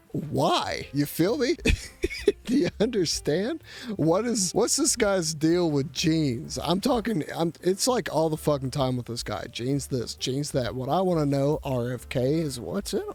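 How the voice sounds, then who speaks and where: Music plays behind a man whose fairly high pitch swings very widely as he speaks at a fairly slow pace. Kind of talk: casual comedic commentary to camera. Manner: irreverent, joking.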